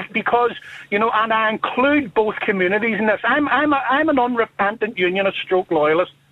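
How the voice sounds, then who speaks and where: The speaker has a Northern Irish accent and talks at a moderate pace. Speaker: caller. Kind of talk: radio phone-in.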